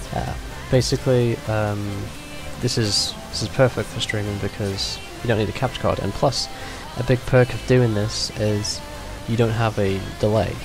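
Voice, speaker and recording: With clear music in the background, a man speaks at a moderate pace and fairly low pitch, with ordinary pitch variation and long, frequent pauses. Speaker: tutorial maker. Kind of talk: screen-recorded tutorial narration. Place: home room.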